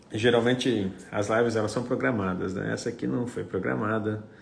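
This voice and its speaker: Amid audible room echo, a man with a fairly low pitch speaks at a moderate pace with lively intonation. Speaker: apostle / preacher. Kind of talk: livestream chat before teaching.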